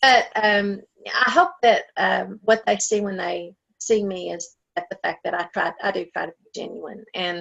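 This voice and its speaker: Speaking with an Appalachian accent at a fairly slow pace, the woman's loudness swings widely. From Appalachia, US. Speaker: novelist and writers conference director. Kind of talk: interview. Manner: hesitant, many fillers.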